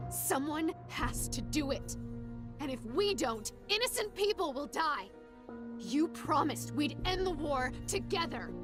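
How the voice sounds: A woman puts on a character voice, high-pitched and fairly bright, with big pitch swings. She speaks at a fairly slow pace while faint music plays in the background.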